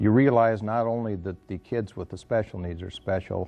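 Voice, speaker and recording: A man's unremarkable speaking voice at a moderate pace, with ordinary pitch variation. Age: 60s. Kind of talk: interview.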